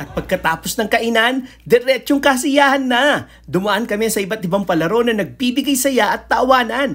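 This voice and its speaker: A woman's high-pitched, upbeat voice with ordinary pitch variation. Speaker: vlogger. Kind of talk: scripted narration.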